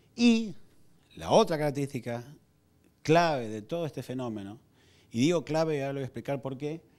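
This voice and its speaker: A man talks with an Argentine accent and lively intonation. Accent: Rioplatense Argentine Spanish. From Argentina, Buenos Aires. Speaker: communications executive; conference speaker. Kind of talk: lecture. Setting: stage with audience. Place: hall. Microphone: handheld.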